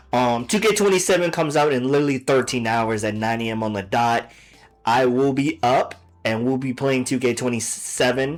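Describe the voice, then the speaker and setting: There is noticeable background noise behind this man. He speaks at a moderate pace and a medium pitch, with ordinary pitch variation. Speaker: streamer reacting to videos. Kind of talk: casual live stream chat. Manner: loud.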